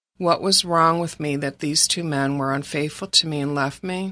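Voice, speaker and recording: In a Midwestern American accent, a woman speaks at a moderate pace with a very deep, low pitch and a bright, sharp tone. Her intonation is fairly even, and the recording is very clean with a silent background. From Michigan, Detroit area. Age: 60s. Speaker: graphic designer sharing faith testimony. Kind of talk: testimony. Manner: reading from prepared text.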